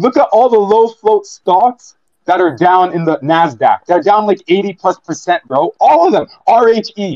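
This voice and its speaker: Loud and animated, a man talks at a moderate pace with a high pitch and lively intonation. The sound is dry and close with no echo. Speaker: audience member, trader. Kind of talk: heated debate. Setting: live audio space, recorded online.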